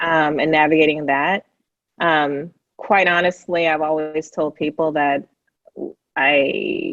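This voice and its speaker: With a Californian accent, a woman speaks very deep and low at a very slow pace, in a flat monotone with long, frequent pauses. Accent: California. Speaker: panel guest on race conversations. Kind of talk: casual chat.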